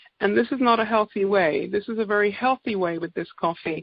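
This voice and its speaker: Moderate pace and ordinary pitch variation, in an English accent. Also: woman. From England. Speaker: naturopath. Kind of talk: sales presentation. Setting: conference call.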